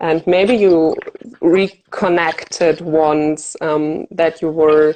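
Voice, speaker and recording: A woman with a German accent speaks at a fairly low pitch in a dark, mellow tone with monotone, flat intonation. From Germany. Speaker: fear of flying coach. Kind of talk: interview.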